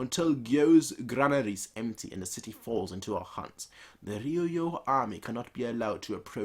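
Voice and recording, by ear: The intonation here is lively. A natural voice reads the text aloud.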